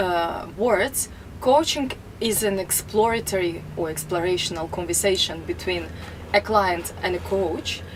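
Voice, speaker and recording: A woman speaks in a Russian accent, with noticeable background noise. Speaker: life coach. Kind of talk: self-introduction to camera.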